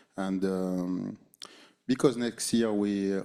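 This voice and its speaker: With a French accent, a man speaks in a dark, mellow tone. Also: very clean recording, silent background. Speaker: basketball head coach. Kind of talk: postgame press conference. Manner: halting, many fillers and repeated words.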